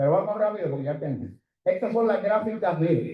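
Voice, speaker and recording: A man talks with very wide pitch swings. Audible room echo surrounds his voice. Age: 70s. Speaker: economist. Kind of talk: conference presentation.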